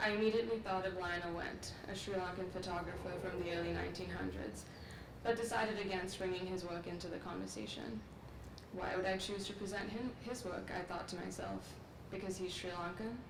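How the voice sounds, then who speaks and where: Over noticeable background noise and audible room echo, a woman with a medium pitch speaks at a fairly quick pace with ordinary pitch variation. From Sri Lanka. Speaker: graduate student. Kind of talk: commencement speech. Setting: outdoor ceremony with audience. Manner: formal.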